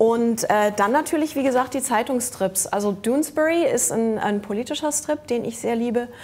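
The woman here speaks at a fairly quick pace. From Germany. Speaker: comic artist and musician; comic artist. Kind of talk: casual chat. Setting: studio with audience. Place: studio. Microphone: lapel.

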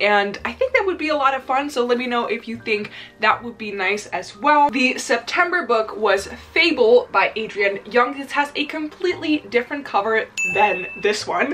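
Faint music plays in the background as a woman with a high pitch speaks at a moderate pace with lively intonation. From Netherlands. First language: Dutch. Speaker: book YouTuber. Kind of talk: casual vlog chat. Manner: enthusiastic. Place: home room.

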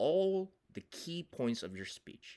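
The recording is very clean, with a silent background. A man speaks at a fairly slow pace with lively intonation. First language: not English (grew up as ESL learner). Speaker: communication professor and public speaking coach. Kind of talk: tutorial.

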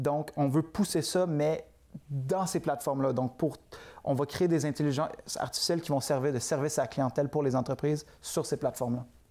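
Fairly quick and fairly high for a man, his dark, mellow tone holds fairly even intonation and very even loudness. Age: 20s. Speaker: entrepreneur; guest. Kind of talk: interview. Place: studio. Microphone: lapel.

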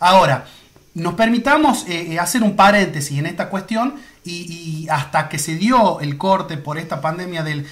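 A man's high-pitched voice with lively intonation at a fairly slow pace, faint music in the background. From Argentina. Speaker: sports photographer; sports photographer interviewing a commentator. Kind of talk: interview. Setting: Instagram live video call. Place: home room.

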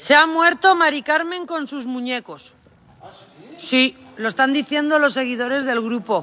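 Raising and projecting her voice, a woman speaks at a fairly slow pace in a high pitch with an animated tone and lively intonation. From Cantabria, Spain. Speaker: cattle farmer. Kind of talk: livestream chat. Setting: on a farm.

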